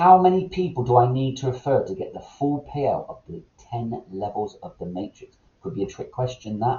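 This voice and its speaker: Somewhat breathy delivery, with lively intonation, big swings in loudness and hardly any pauses, fills the clip. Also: man, medium pitch for a man. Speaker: MLM presenter. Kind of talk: recorded sales presentation. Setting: recorded online meeting. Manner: fast.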